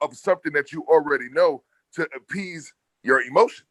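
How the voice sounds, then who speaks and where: Loud and bright, with a sharp tone, a man talks at a moderate pace with ordinary pitch variation in a dry, close sound with no echo. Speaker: podcast panelist. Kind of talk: casual debate.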